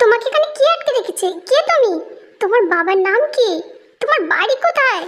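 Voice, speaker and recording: A woman uses a put-on character voice at an extremely high pitch, with lively intonation and a moderate pace. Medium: audio drama.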